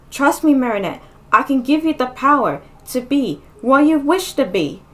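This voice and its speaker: A woman puts on a character voice, pitched high, with lively intonation at a moderate pace. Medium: read story. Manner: calm, encouraging.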